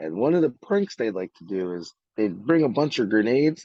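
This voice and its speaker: The speaker talks at a fairly quick pace with very wide pitch swings, in a New York accent. The tone is dark and mellow, and the sound is dry and close with no echo. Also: man. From New York City, Brooklyn. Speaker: army veteran. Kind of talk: interview. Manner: halting.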